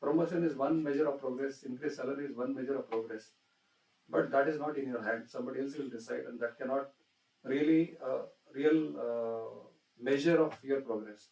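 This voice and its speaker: A man talks at a fairly quick pace in an unremarkable speaking voice. His pitch is fairly high, with fairly even intonation. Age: 60s. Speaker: industry executive. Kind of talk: inaugural address to students.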